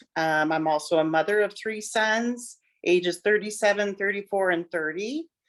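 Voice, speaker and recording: Using a plain, everyday voice, a woman speaks at a medium pitch and moderate pace with ordinary pitch variation. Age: 60s. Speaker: parent of son with addiction. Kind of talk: testimony interview.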